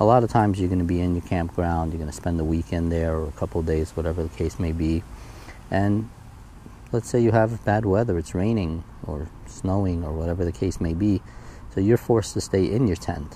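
The speech runs at a fairly quick pace with ordinary pitch variation, dry sound with no echo, and light background noise. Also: man, very deep, low pitch for a man. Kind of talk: gear walkthrough tutorial. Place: garden. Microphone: phone near.

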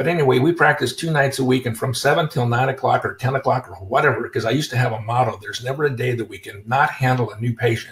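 An American man talks at a very fast pace with hardly any pauses, his loudness swinging widely. His voice is somewhat breathy, medium in pitch, with ordinary pitch variation. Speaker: chiropractor and seminar host. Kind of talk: webinar presentation. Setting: live webinar with microphones.

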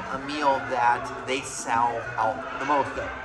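A man speaks over clear music in the background. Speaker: food reviewer. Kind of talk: casual vlog chat. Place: cafe. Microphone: phone near.

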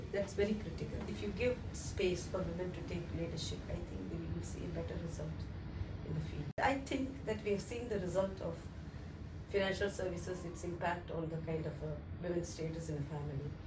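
Noticeable background noise runs under the speech. The pace is fairly quick. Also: woman. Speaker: finance executive. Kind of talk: interview answer. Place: office.

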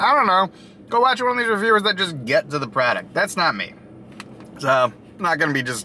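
A man's pitch swings very widely. The sound is dry with no echo, over light background noise. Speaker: food reviewer. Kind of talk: casual vlog chat. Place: car. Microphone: phone near.

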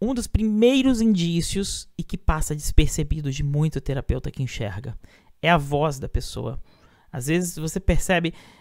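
The recording is very clean, the background silent. The pace is moderate. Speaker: orientation and mobility teacher. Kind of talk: lecture.

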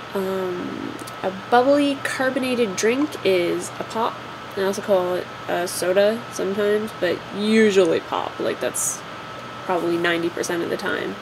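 A woman, heard through noticeable background noise, speaks at a moderate pace with ordinary pitch variation. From Ontario, Canada. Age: 20s. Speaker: vlogger. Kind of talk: casual talk to camera. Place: home room. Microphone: webcam.

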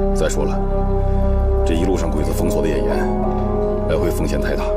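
A man talks fairly quickly. Loud music fills the background behind him. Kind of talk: scripted drama dialogue. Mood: calm, serious planning. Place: home room.

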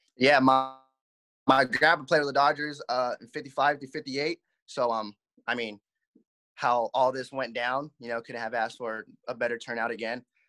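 At a moderate pace with long, frequent pauses, a bright, sharp voice speaks with fairly even intonation and big swings in loudness over a quiet background. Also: man. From Southern California, Covina area; California. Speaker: minor league baseball player. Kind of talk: interview. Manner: halting. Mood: relaxed, grateful. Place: home room. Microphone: video call.

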